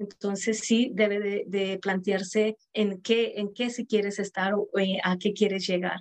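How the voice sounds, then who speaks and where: With a medium pitch and monotone, flat intonation, a woman speaks at a fairly slow pace with hardly any pauses. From Mexico. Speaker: entrepreneur. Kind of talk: interview.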